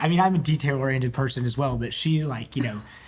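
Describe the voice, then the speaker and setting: A man with an American accent and a fairly high pitch at a fairly quick pace, over noticeable background noise. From US South, East Tennessee. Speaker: physician (ENT). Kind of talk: casual interview chat.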